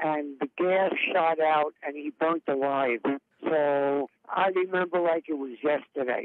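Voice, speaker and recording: The speaker has a New York accent and moves at a fairly slow pace with fairly even intonation. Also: man, fairly high pitch for a man. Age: 60s. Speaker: retired paramedic. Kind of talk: interview testimony.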